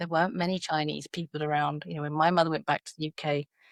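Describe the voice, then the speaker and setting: This woman's voice sits very deep and low, recorded dry and close with no echo against a silent background in a very clean recording. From South London, England. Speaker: educator. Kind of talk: podcast interview. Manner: hesitant, many fillers.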